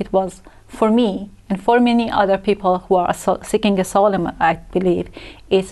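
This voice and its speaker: A woman's dark, mellow voice at medium pitch, with fairly even intonation and a moderate pace. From Iran, Tehran. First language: Persian. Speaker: asylum seeker, translator. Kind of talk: TV interview.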